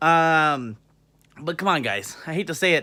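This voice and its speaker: His bright, sharp tone sits at a fairly high pitch as this man speaks with ordinary pitch variation. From England (born in Banbury, moved to US as small child, grew up around Washington DC). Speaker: vlogger. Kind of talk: casual vlog monologue. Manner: casual, many fillers (um, uh); swears when heated.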